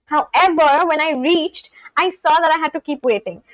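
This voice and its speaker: Dry and close with no echo, a woman talks at a fairly quick pace in an Indian accent. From India, West Bengal. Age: 20s. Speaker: live streamer. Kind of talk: casual chat.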